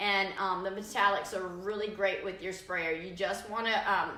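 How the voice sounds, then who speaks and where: A woman speaks fairly slowly in a monotone, flat way. Noticeable background noise and audible room echo fill the recording. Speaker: furniture painter demonstrating products. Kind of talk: live stream tutorial. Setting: live video stream. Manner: hesitant fillers.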